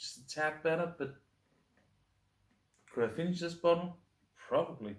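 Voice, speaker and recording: At a moderate pace, a man with a high pitch and ordinary pitch variation speaks with big swings in loudness. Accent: Danish. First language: Danish. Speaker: beer reviewer. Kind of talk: casual review monologue. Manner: halting, stumbling over words.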